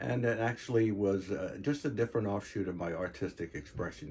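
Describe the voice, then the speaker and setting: Lively intonation marks this man's speech. He talks at a fairly quick pace. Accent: American. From New York, Long Island (Queens, North Babylon). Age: 70s. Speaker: retired art teacher and artist. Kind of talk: personal reminiscence. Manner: halting, many fillers.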